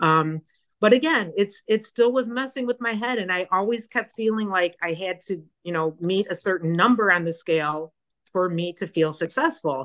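Speaking in a Chicago accent, a woman keeps a medium pitch and moderate pace with lively intonation. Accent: Chicago American. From US Midwest, Chicago area. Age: 60s. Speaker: fitness program member. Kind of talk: interview, personal story.

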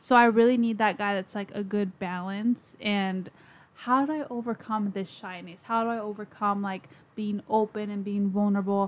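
A woman speaks in an ordinary speaking voice at medium pitch, keeping a moderate pace and fairly even intonation. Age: 20s. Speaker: podcast host. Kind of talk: casual chat.

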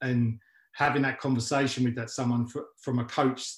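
A man in a London accent speaks at a moderate pace with a medium pitch, a somewhat breathy voice and monotone, flat intonation. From West London, England. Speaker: MMA coach and gym founder. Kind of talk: interview. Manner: halting, many fillers.

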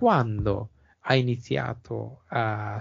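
This is a man's voice. It sounds somewhat breathy. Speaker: podcast host. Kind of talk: interview.

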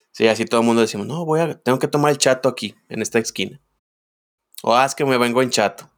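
On a very clean recording with a silent background, a man speaks very fast at a medium pitch with ordinary pitch variation. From Guadalajara, Jalisco, Mexico. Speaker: podcast co-host. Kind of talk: casual chat.

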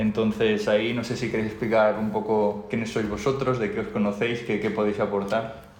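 The voice holds a monotone, flat intonation at a moderate pace with hardly any pauses. Noticeable background noise runs underneath. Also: man, fairly low pitch for a man. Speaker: podcast co-host, engineer. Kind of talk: casual chat. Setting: home recording.

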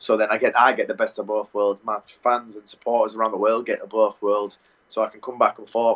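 A man talks with an English accent. His pace is very fast. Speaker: Muay Thai fighter. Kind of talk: interview.

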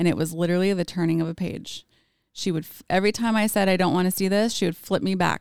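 Against a silent background on a very clean recording, a woman speaks at a very fast pace with fairly even intonation. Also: medium pitch for a woman. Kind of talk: personal storytelling.

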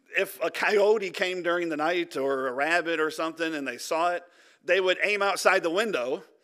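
A man's high-pitched voice with a Midwestern American accent, bright and sharp in tone, at a moderate pace with ordinary pitch variation, on a very clean recording over a silent background. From Michigan, Detroit area. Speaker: pastor. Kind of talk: sermon. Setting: church.

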